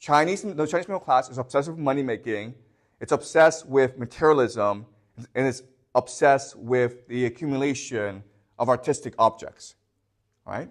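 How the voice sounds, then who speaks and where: Medium in pitch with ordinary pitch variation, a man talks at a moderate pace in an unremarkable speaking voice. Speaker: history teacher. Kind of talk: lecture.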